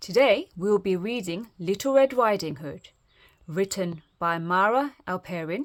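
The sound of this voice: With lively intonation, the reading proceeds in an unforced reading voice.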